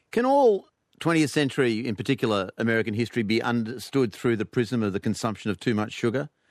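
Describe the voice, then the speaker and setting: With an Australian accent, the voice moves at a very fast pace with ordinary pitch variation over a quiet background. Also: man, medium pitch for a man, dry, close sound with no echo. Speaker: radio host. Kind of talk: live radio comedy panel show. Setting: studio with audience.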